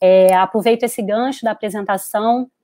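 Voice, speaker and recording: A woman with a Carioca accent speaks at a moderate pace in a fairly high voice with fairly even intonation. The sound is dry and close, with no echo. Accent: Carioca (Rio de Janeiro). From Rio de Janeiro, Brazil. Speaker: psychologist. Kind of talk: webinar talk. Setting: online live stream.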